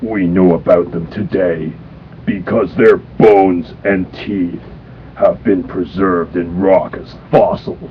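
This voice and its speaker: A man uses a cartoonish character voice with a very deep, low pitch. He talks at a fairly slow pace over clear background noise. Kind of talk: cartoon impression. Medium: read story. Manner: gruff, stern.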